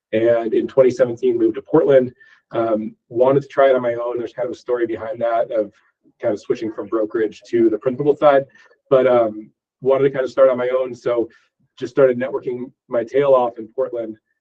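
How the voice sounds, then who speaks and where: The intonation is monotone and flat. The pace is fairly quick. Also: man, medium pitch for a man. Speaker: real estate investor. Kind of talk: presentation with Q&A. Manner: fast.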